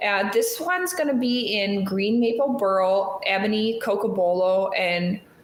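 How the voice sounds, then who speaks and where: A woman mumbles at a medium pitch with ordinary pitch variation. Room echo is audible. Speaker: knife shop co-host. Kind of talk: live stream casual chat. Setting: live stream. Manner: mumbling.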